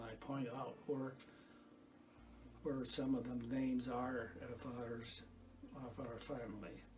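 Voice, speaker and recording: In an American accent, a man speaks at a medium pitch with monotone, flat intonation and a fairly slow pace, with audible room echo. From US Midwest, north Iowa. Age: 80s+. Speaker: retired farmer and garden volunteer. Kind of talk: casual reminiscence. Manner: halting, many false starts.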